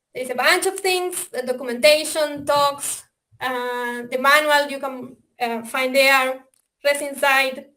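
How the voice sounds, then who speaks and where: A woman speaks in an Argentine accent with a raised, projected voice at a high pitch. Her tone is bright and sharp, her pace very slow, and her intonation fairly even. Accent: Argentinian. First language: Spanish. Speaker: software developer presenting a simulator. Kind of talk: webinar presentation. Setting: online webinar. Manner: hesitant, many fillers.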